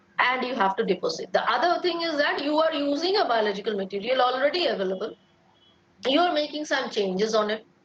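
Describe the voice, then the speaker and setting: Over noticeable background noise, a woman speaks at a very fast pace in a high pitch, her voice making very wide swings up and down. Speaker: lecturer. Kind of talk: lecture.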